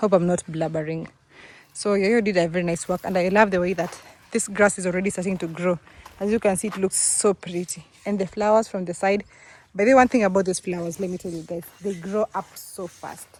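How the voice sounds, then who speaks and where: A woman with an East African accent speaks at a fairly quick pace and medium pitch. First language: Swahili. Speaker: vlogger. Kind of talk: casual vlog, home tour. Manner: fast; animated.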